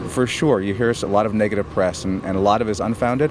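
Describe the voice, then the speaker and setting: Over noticeable background noise, a man talks very fast in a fairly low pitch with ordinary pitch variation. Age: 50s. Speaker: VA hospital administrator. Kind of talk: interview. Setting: on location at a veterans hospital. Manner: halting, repeats words.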